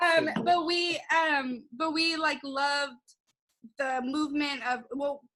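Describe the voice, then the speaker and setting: Using a raised, projected voice, a woman speaks at a very slow pace and a high pitch with fairly even intonation. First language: not English. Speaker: podcast host. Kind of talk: casual chat.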